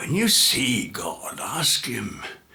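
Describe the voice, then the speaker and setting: A man puts on a raspy character voice pitched fairly high. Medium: read story.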